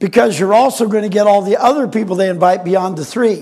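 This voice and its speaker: A man talks loudly and very fast in a high voice with an animated tone. His pitch variation is ordinary. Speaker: inventor and marketing presenter. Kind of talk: sales pitch.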